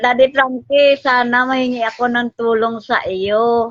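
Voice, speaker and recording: A woman talks in an unremarkable speaking voice. The sound is dry and close with no echo, over a quiet background. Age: 60s. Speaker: mother appealing for help. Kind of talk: tearful appeal.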